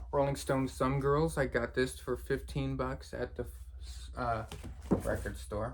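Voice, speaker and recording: A man's fairly low-pitched voice with vocal fry. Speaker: record collector video creator. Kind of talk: casual show-and-tell.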